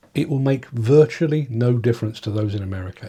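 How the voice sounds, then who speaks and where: A man talks at a fairly quick pace with an English accent. His tone is dark and mellow, and somewhat breathy. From England. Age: 60s. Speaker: journalist and political commentator. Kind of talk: video monologue. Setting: home streaming setup. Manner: halting, with frequent repetitions.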